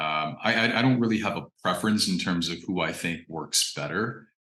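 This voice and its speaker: A man's bright, sharp voice with an American accent, fairly quick pace, ordinary pitch variation and audible room echo. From US Midwest (Indiana). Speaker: actor and fine artist. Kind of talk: interview. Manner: hesitant, many fillers and repetitions.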